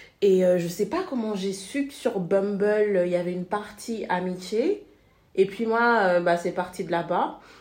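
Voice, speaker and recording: Fairly slow speech from a woman with an unremarkable speaking voice, a medium pitch and ordinary pitch variation. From Senegal. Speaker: expat guest. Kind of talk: casual chat.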